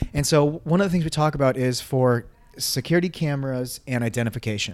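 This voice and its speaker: In a plain, everyday voice, a man speaks at a medium pitch with ordinary pitch variation. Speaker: army veteran and security consultant. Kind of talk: casual interview. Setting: handheld microphone.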